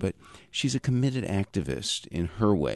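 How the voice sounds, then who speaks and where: A fairly low-pitched man with vocal fry and lively intonation, in a dry, close sound with no echo and a quiet background. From New York metro area. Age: 60s. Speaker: peace activist. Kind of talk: radio interview.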